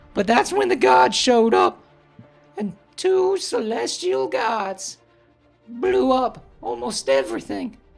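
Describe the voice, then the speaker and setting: Over faint music in the background, a man speaks in a put-on character voice at a fairly slow pace. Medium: actual play. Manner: rambling, casual, profane.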